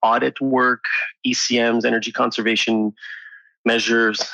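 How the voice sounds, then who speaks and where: Talking at a fairly quick pace, a man with a French Canadian accent has a medium pitch and a bright, sharp tone in a dry, close sound with no echo. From Quebec, Montreal. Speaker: engineer and entrepreneur. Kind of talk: interview.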